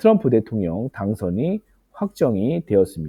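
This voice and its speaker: A man speaks at a very slow pace with very wide pitch swings. The sound is dry and close, with no echo. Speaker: stock investing YouTuber, office worker. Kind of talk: tutorial. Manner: frequent filler 'uh', hesitant.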